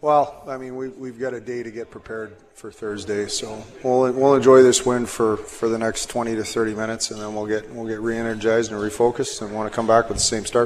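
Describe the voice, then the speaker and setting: Over noticeable background noise, a man at medium pitch rushes along at a very fast pace with hardly any pauses, his loudness swinging widely while his intonation stays flat and monotone. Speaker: hockey coach. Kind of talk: post-period interview.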